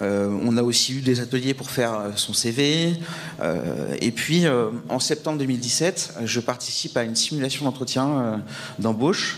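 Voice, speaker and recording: Amid noticeable background noise, a man with a medium pitch talks at a fairly slow pace with lively intonation. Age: 30s. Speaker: mental health testimony speaker. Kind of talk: testimony. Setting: event with audience. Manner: halting, many hesitations.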